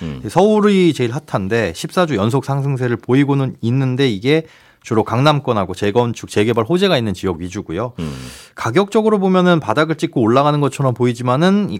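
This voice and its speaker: Speaking at a fairly quick pace, a man is heard here. His pitch rises and falls in very wide swings. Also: very clean recording, silent background. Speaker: real estate and asset management analyst. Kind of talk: radio economics discussion.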